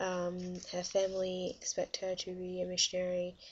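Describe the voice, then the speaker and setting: At a moderate pace, a woman of medium pitch speaks with monotone, flat intonation. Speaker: university student. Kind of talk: casual book review to camera. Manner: hesitant, many filler sounds.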